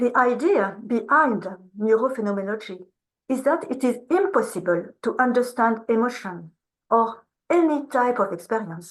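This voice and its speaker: Lively intonation marks a woman's high-pitched voice. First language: French. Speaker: researcher, keynote speaker. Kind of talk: academic lecture. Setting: video call to conference room. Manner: slow.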